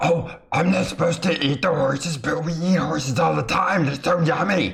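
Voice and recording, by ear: A man performs a put-on character voice, pitched fairly high. He keeps a moderate pace.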